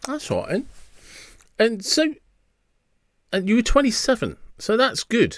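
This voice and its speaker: A man with an English accent at an extremely high pitch, ordinary pitch variation, moderate pace and long, frequent pauses. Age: 50s. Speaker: podcast host. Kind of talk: podcast interview. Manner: hesitant, restarts sentences.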